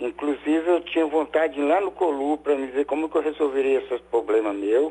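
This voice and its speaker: Fairly quick speech from a man with a fairly high pitch and ordinary pitch variation. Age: 60s. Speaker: caller, former radiology technician. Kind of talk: live phone-in call. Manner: halting.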